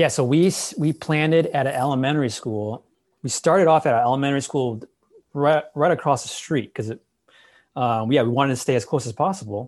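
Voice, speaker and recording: Here is a plain, everyday voice: a man with an American accent, fairly high pitch and ordinary pitch variation. He speaks at a fairly quick pace against a quiet background. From Chicago area, US Midwest. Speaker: pastor. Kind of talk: interview.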